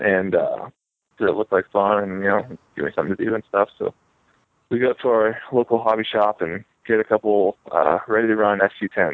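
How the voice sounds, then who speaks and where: With a Midwestern US accent, a man speaks in a fairly low pitch and fairly even intonation. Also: moderate pace. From Northeast Ohio. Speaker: RC car racer. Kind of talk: casual interview.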